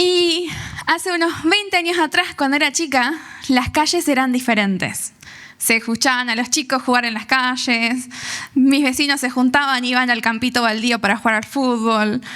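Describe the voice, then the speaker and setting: A woman with an Argentine accent uses a raised, projected voice at a high pitch. She keeps a moderate pace with ordinary pitch variation. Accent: Rioplatense Argentine Spanish. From Argentina, San Nicolás de los Arroyos (Buenos Aires province). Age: 30s. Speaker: youth speaker giving testimony. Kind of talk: testimony.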